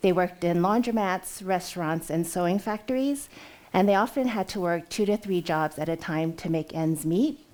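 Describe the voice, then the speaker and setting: Speaking with a Californian accent, a woman uses medium pitch and ordinary pitch variation at a moderate pace. The recording is very clean, with a silent background. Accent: General American (California). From US West Coast, Oakland, California. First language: Cantonese. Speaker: entrepreneur, company CEO. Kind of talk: conference talk.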